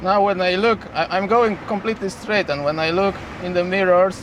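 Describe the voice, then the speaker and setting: Over noticeable background noise, a man talks at a moderate pace in a high pitch with fairly even intonation. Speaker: truck driver vlogger. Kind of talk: casual driving vlog narration. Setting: in a truck cab with windows open. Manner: loud.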